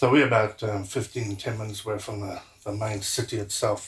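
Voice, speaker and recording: A man speaks fairly quickly in a fairly low, somewhat breathy voice with monotone, flat intonation. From South Africa, Durban. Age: 60s. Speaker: martial arts instructor. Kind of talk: interview.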